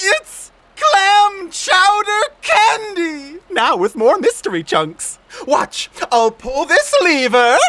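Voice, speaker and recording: The voice is extremely high with very wide pitch swings. It moves at a very slow pace. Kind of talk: comic overacting. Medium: audio drama. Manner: showman, theatrical, dramatic pauses.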